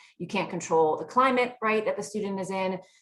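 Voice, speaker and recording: This woman speaks with lively intonation. Audible room echo surrounds her voice. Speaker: law professor. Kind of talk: panel presentation. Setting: virtual conference video call.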